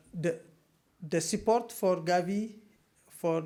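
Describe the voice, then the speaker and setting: The speaker has a French accent and talks at a fairly slow pace. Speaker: researcher presenting a study. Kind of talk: conference Q&A. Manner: halting.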